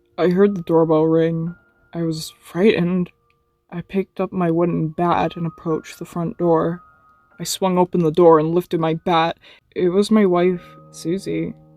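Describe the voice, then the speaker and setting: A woman speaks at a fairly low pitch and a moderate pace, in a monotone, flat intonation. The sound is dry and close with no echo, and music plays in the background. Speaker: creepypasta narrator. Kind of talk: horror story reading.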